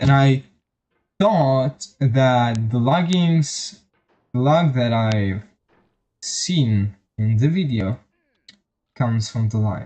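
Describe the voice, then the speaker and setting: At a very slow pace, a man speaks with a medium pitch, ordinary pitch variation, and a dark, mellow tone. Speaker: vtuber streamer. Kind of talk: casual gaming stream chat. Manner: halting.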